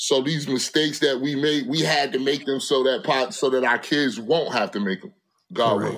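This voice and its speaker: An ordinary speaking voice with ordinary pitch variation moves at a moderate pace in a very clean recording with a silent background. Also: man, medium pitch for a man. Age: 40s. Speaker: rapper and clothing entrepreneur. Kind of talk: casual chat.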